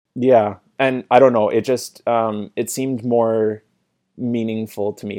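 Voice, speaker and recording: A man with a Maritime Canadian accent speaks at medium pitch with fairly even intonation. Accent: Canadian (Maritimes). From Canada, small town in New Brunswick. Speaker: podcast guest, Korean culture enthusiast. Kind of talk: casual chat.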